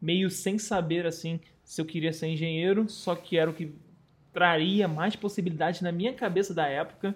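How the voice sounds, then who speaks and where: A man with a Carioca accent, high-pitched, at a moderate pace, with fairly even intonation. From Rio de Janeiro, Brazil. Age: 30s. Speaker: travel content creator. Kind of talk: casual chat.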